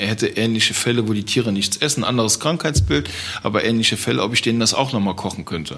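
Ordinary pitch variation marks a man's medium-pitched voice. He talks at a very fast pace. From Germany, Trier region. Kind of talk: interview.

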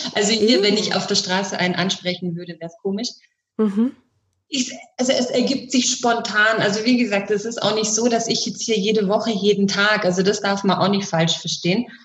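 A woman with a medium pitch speaks at a fairly quick pace, somewhat breathy, her intonation fairly even and her loudness swinging widely. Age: 40s. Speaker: sex coach and bodywork practitioner. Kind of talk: casual interview chat.

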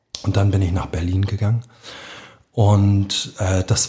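A man's somewhat breathy, dark and mellow voice at a moderate pace. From Hamburg, St. Pauli. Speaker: author. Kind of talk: interview. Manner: emotional.

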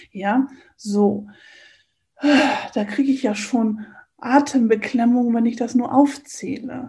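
A woman speaks very slowly in a dark, mellow tone with fairly even intonation. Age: 50s. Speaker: coach and eating trainer. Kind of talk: interview.

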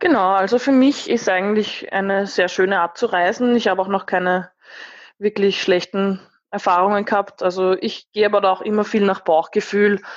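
A woman uses a normal speaking voice at medium pitch and a moderate pace, with fairly even intonation. Her loudness stays very even against a quiet background. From Austria, Lower Austria. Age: 20s. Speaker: van traveller. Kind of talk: interview.

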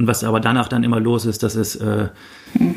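A man at medium pitch and a fairly quick pace, in a flat monotone. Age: 30s. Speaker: online forum founder. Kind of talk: interview. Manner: hesitant, many fillers.

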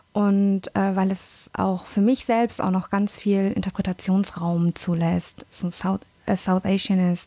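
Somewhat breathy and dark, mellow in tone, a woman speaks at a very slow pace with monotone, flat intonation and very even loudness. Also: medium pitch for a woman. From born in London, Indian family. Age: 30s. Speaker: language teacher. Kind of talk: casual chat.

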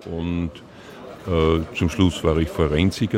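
A man speaks with a very deep, low pitch. Noticeable background noise runs behind him. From Austria, Linz, Upper Austria. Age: 60s. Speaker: retired police digital forensics investigator. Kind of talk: interview. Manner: talkative.

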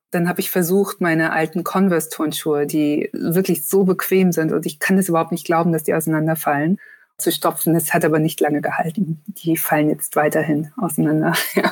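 A woman speaks at a fairly quick pace in a fairly low pitch. Her loudness stays very even and her intonation fairly even. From Germany, northern Hesse near Kassel. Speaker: journalist and author. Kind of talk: casual interview. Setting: video call.

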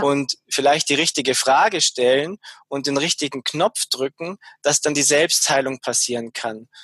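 The sound is dry and close, with no echo. A man with a fairly high pitch talks at a fairly slow pace. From Bavaria, Munich area. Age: 40s. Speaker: shaman. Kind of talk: interview. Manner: hesitant, frequent fillers.

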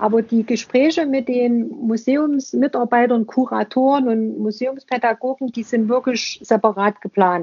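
A woman with a high pitch speaks at a fairly slow pace, with hardly any pauses and fairly even intonation. Noticeable background noise is present. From Saxony, eastern Germany. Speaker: museum podcaster. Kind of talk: casual interview conversation.

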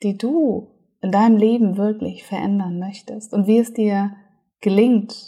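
A woman with a fairly high pitch speaks fairly slowly in a soothing, calm, dark and mellow tone, somewhat breathy, with fairly even intonation. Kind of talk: guided meditation. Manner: soothing, slow, calm, gentle pacing with pauses; warm, hypnotic, dreamy.

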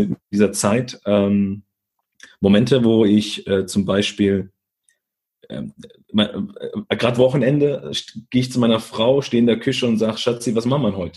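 Pausing long and often, a man speaks in a dark, mellow tone. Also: medium pitch for a man, ordinary pitch variation, moderate pace. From Germany, Italian immigrant family. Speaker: leadership speaker. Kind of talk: interview.

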